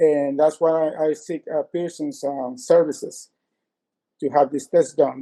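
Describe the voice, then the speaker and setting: A man with a fairly high pitch and a dark, mellow tone talks at a fairly slow pace with fairly even intonation, the sound dry and close with no echo. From Latin America. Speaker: consumer giving a complaint review. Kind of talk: interview testimony. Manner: halting, many fillers and restarts.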